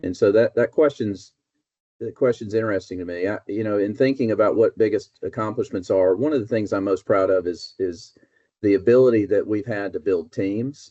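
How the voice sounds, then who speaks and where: A man with an Alabama accent talks at a fairly quick pace. His voice is fairly low, with ordinary pitch variation. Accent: Southern US (Alabama). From US South, North Alabama. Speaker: business executive. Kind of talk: casual interview. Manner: hesitant, many fillers.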